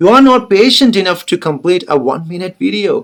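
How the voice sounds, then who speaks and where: Talking at a fairly quick pace, a man's voice moves through very wide pitch swings. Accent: Keralan. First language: Malayalam. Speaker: English teacher. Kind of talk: motivational talk to camera.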